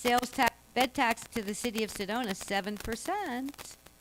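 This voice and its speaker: A woman at a fairly slow pace with fairly even intonation, in a dry, close sound with no echo and noticeable background noise. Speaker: local activist speaker. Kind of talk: public Q&A. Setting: public meeting with audience. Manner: loud.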